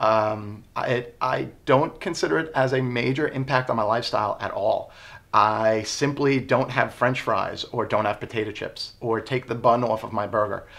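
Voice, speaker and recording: This man has a medium-pitched voice and fairly even intonation. It is an ordinary speaking voice at a moderate pace. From US Northeast, Long Island, New York. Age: 20s. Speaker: interviewee with type 1 diabetes. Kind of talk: interview.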